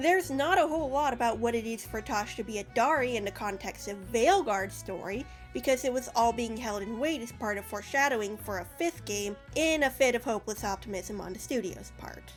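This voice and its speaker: With music in the background, a woman speaks in a fairly high voice with lively intonation. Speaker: video game analyst. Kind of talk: video essay narration. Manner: sarcastic, casual.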